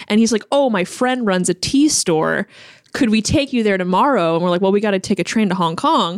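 A woman with a normal speaking voice and an American accent talks at a fairly quick pace with a medium pitch and lively intonation. Her loudness stays very even, and the recording is very clean with a silent background. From Chicago, US Midwest. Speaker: food journalist. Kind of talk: casual interview.

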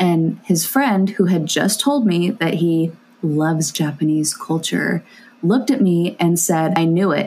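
Noticeable background noise runs under this clip. A woman with an American accent speaks at a moderate pace, her fairly low pitch showing ordinary variation. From California. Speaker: guest. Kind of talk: casual chat.

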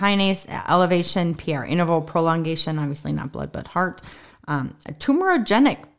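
A woman speaks in an ordinary speaking voice at a fairly low pitch. Her pace is fairly quick and her pitch varies in an ordinary way. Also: very clean recording, silent background. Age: 50s. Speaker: physician and podcast co-host. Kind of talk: casual medical discussion. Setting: basement recording space.

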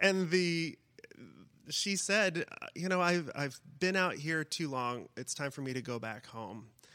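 A man with an American accent, fairly high-pitched, with a bright, sharp tone, lively intonation and a fairly slow pace. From Iowa, US Midwest. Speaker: writer and college teacher. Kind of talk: interview. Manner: halting, many repeats and fillers.

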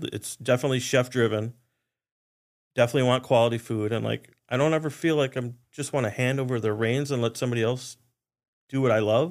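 Speaking at a very fast pace with an American accent, a man keeps his intonation fairly even. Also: medium pitch for a man. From Wisconsin (Oshkosh). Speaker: chef. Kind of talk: casual chat.

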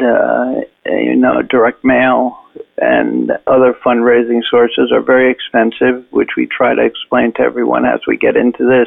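With an American accent, this man is speaking. He keeps a moderate pace. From New York, Long Island. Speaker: retired police officer, advocacy group president. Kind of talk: interview. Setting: phone call.

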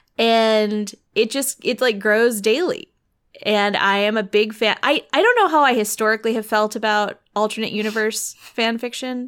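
Moderate pace and ordinary pitch variation in a woman's fairly high voice. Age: 30s. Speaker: podcast co-host. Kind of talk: casual chat.

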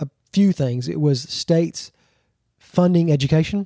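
Speech comes in a Southern US accent with a dark, mellow tone. The pace is moderate, and the sound is dry and close with no echo. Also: man. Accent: Southern US (Georgia). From Georgia, US South. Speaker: pastor. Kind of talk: casual interview chat.

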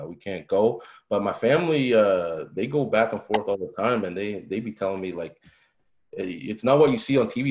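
An unremarkable speaking voice belongs to a man at a medium pitch. He talks at a fairly quick pace against a quiet background. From Canada, Saint John, New Brunswick. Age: 20s. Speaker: young real estate investor. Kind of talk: casual interview.

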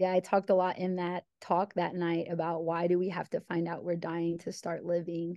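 A woman with an American accent speaks in a flat monotone, with hardly any pauses. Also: fairly low pitch for a woman, moderate pace. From US Midwest, small-town Illinois. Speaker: educator and author. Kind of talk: interview.

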